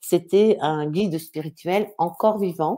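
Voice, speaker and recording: This woman has a dark, mellow tone at a fairly low pitch. Her pitch variation is ordinary. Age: 60s. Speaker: author and speaker. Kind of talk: live interview. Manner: halting.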